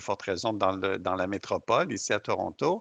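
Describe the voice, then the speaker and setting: With a Quebec accent, a man speaks at a moderate pace in a bright, sharp tone. The sound is dry and close with no echo, over a quiet background. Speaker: interviewer. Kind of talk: interview. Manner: halting.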